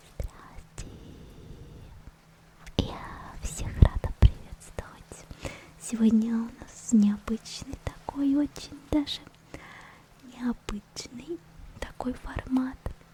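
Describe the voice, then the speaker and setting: Whispering woman at a very slow pace, long and frequent pauses, big swings in loudness, noticeable background noise around her. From Russia. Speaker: ASMR creator and vtuber. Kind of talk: casual ASMR talk to camera. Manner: quiet, whispered, soft-spoken.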